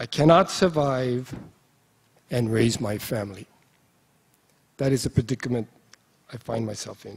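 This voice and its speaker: A man with a Hawaiian accent speaks at a moderate pace and medium pitch, somewhat breathy, with ordinary pitch variation. His loudness swings widely, and he takes long, frequent pauses. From Hawaii (Molokai). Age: 60s. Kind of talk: speech at a conference. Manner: halting, with fillers.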